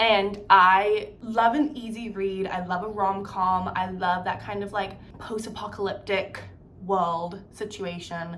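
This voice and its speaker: A woman at a fairly slow pace, fairly even intonation, big swings in loudness, and audible echo from the room. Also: medium pitch for a woman. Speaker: beauty and lifestyle vlogger. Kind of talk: casual chat. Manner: casual, chatty with many fillers.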